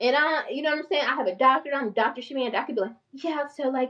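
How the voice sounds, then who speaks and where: A woman talks with a strong Southern US accent. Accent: strong country Southern. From North Carolina small town. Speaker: mental health therapist and finance YouTuber. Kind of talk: casual livestream talk. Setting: YouTube livestream. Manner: fast; animated, passionate.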